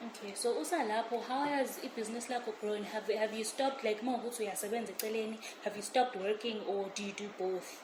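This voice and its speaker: A woman talks very fast at a fairly high pitch, with hardly any pauses and fairly even intonation. Noticeable background noise and audible room echo are present. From South Africa, Pietermaritzburg. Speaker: co-host. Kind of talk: interview.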